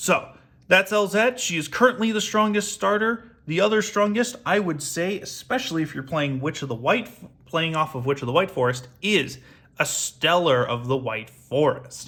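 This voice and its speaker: Loud and high-pitched, a man with a bright, sharp tone swings his pitch very widely at a moderate pace. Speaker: YouTuber card game deck reviewer. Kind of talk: deck showcase tutorial. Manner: projected, loud; audible gasps for air between phrases.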